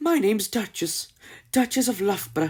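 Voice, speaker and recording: A put-on character voice with a fairly high pitch. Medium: read story. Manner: breathless, hurried.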